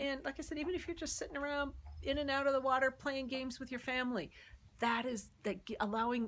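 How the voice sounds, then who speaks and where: A woman talks at a fairly quick pace with lively intonation. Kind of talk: casual vlog chat. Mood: warm, encouraging. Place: open country. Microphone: phone near.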